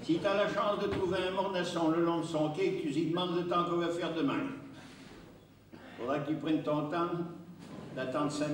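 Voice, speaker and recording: Over noticeable background noise, a man with a Saintonge accent speaks at a fairly quick pace with fairly even intonation. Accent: Saintonge regional. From Saintonge, western France. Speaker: dialect storyteller. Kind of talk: stage storytelling in regional dialect.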